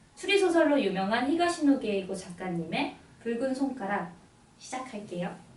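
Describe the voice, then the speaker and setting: A woman's fairly high voice at a moderate pace, with very wide pitch swings and noticeable background noise. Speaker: radio announcer and book presenter. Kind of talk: radio book introduction, story summary narration.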